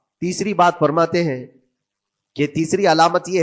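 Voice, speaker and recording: A normal speaking voice with ordinary pitch variation, on a very clean recording over a silent background. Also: man. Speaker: Islamic scholar preaching. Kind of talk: Islamic sermon (bayan).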